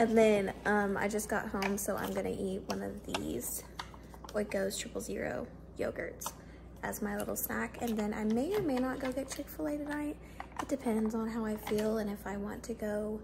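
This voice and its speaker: Noticeable background noise runs under speech delivered at a moderate pace. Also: woman. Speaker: vlogger. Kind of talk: casual vlog chat. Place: kitchen. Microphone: phone near.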